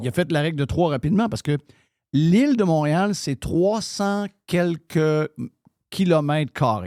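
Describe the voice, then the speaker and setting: With a Quebec accent and a dark, mellow tone, a man speaks fairly slowly with lively intonation on a very clean recording with a silent background. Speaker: radio show host. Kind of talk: casual talk-radio commentary.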